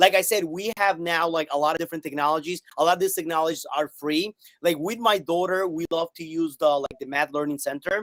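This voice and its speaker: An animated man speaks at a high pitch with hardly any pauses. The sound is dry and close, with no echo. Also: fairly quick pace. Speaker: math teacher. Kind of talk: interview on live stream. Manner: fast.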